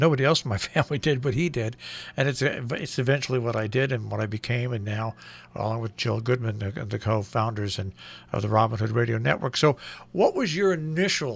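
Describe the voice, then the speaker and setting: A man's somewhat breathy voice at medium pitch, fairly quick pace and ordinary pitch variation, in a very clean recording with a silent background. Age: 60s. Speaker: radio host and network co-founder. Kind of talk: radio interview. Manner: hesitant, many fillers.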